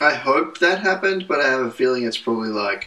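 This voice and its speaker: This man's voice sits fairly high in pitch. He talks at a moderate pace. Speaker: podcast co-host, pastor's kid. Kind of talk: casual chat.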